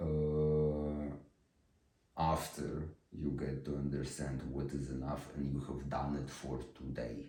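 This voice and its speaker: The voice has a dark, mellow tone and monotone, flat intonation. It moves at a very slow pace, with audible room echo. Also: man, very deep, low pitch for a man. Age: 20s. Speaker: vlogger. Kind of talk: personal monologue. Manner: slow speaking.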